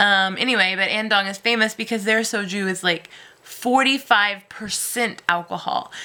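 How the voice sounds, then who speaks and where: A woman with an American accent, medium pitch, fairly even intonation and a moderate pace, over noticeable background noise. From United States. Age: 20s. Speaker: English teacher, vlogger. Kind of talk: casual vlog monologue. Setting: at home, cat on lap. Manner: casual with frequent hesitations (um, uh).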